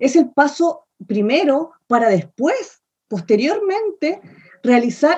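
A woman with a high pitch and a dark, mellow tone speaks with very wide pitch swings. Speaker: theatre researcher and author. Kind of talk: casual interview chat.

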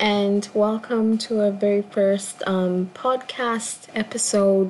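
The delivery is very slow. Its intonation is monotone and flat. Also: woman. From Kenya. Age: 20s. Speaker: podcast host and performance artist. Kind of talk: casual solo intro monologue. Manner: hesitant, many fillers.

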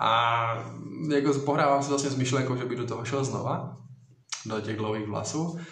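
With long, frequent pauses, a man at medium pitch talks at a fairly quick pace with fairly even intonation, amid noticeable background noise and audible room echo. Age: 20s. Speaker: social media influencer. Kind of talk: live Q&A stream.

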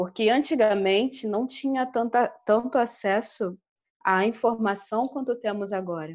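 At a fairly slow pace, a woman talks in an unremarkable speaking voice, pitched fairly high, with ordinary pitch variation. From Angola. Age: 20s. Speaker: fashion designer and researcher. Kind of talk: podcast interview.

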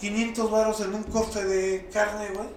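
A man with a Mexican accent speaks at a very slow pace in a high pitch with monotone, flat intonation, with audible room echo and noticeable background noise. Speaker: podcast co-host. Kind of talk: casual chat. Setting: studio.

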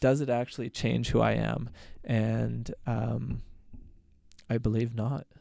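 A man speaks at a very slow pace. Long pauses come frequently. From Alberta, Canada. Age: 30s. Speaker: doctor and ultramarathon runner. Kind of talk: casual interview.

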